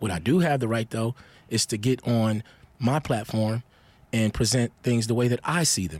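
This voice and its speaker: A man speaks in an ordinary speaking voice at a medium pitch and a moderate pace. His pitch varies in an ordinary way, and the sound is dry and close with no echo. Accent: American. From Milwaukee, Wisconsin, US Midwest; youth in South New Jersey. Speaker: rapper. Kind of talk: interview.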